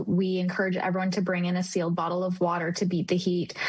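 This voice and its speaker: Medium-pitched woman with a slight Canadian accent, fairly quick pace and noticeable background noise. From Canada, Calgary. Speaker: festival representative. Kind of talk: TV interview.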